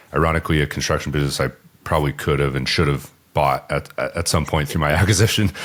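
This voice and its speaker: A man with a very deep, low pitch talks at a very fast pace with fairly even intonation amid noticeable background noise. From Southern California. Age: 30s. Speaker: business owner. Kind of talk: podcast interview. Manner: casual, hesitant with fillers.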